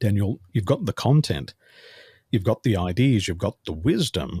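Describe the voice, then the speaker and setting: A man's somewhat breathy voice comes through dry and close with no echo, on a very clean recording with a silent background. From Australia. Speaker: business coach. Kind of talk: interview conversation. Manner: fluent, few filler words.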